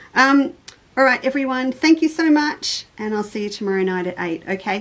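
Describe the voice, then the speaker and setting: Her intonation is lively as this woman speaks at a high pitch and a moderate pace. Noticeable background noise runs behind her. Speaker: quilting shop owner and online show host. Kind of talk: live stream chat. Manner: formal.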